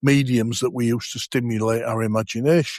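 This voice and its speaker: A plain, everyday voice from a man at medium pitch, fairly quick, with fairly even intonation and a dry, close sound with no echo over a quiet background. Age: 60s. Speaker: podcast host. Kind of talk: casual chat.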